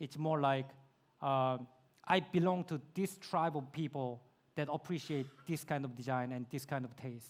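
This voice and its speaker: A man speaks with a Korean accent and ordinary pitch variation. The recording is very clean, with a silent background. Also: fairly high pitch for a man, moderate pace. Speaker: YouTube creator, speaker. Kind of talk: Q&A answer at conference. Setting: conference stage with audience.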